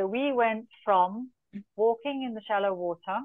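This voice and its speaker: Against a quiet background, a woman speaks at a moderate pace with a dry sound and no echo. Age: 50s. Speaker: endurance coach. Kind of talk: interview answer. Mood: warm storytelling. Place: home room. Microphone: video call.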